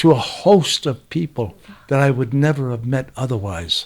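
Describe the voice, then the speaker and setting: Swinging very widely in pitch, a man talks at a moderate pace in a fairly high voice. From Mexican-American (Chicano). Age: 80s+. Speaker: photographer. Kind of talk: casual chat. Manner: animated.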